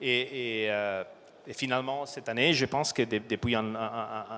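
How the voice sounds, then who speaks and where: A man with a non-native accent speaks in a medium pitch with fairly even intonation and a bright, sharp tone, in a very clean recording with a silent background. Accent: foreign accent, noticeable. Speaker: supply chain director. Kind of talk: conference talk. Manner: halting, many fillers.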